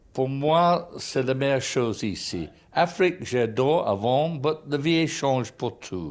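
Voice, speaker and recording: Someone speaks at a very slow pace with a British accent. The intonation is lively. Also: man, fairly high pitch for a man. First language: English (speaking French). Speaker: innkeeper. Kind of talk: interview. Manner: halting French.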